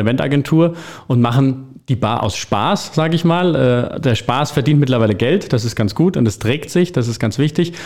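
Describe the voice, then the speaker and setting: A man speaks in a plain, everyday voice, his pitch fairly high. His intonation is lively and his pace moderate. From Hesse, Vogelsberg. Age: 30s. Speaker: bar owner and restaurateur. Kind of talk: interview.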